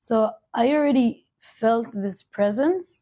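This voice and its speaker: A woman speaks in a somewhat breathy voice. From Gaza, Palestine. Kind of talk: interview answer.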